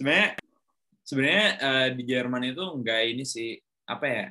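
A man speaks at a medium pitch. It is an unremarkable speaking voice. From Indonesia, Bandung. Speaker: podcast host. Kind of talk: casual chat.

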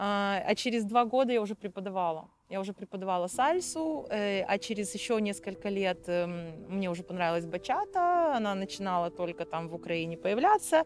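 Here is a normal speaking voice. It moves at a moderate pace. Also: woman. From Odesa, Ukraine. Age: 40s. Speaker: dance teacher and volunteer. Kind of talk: interview testimony.

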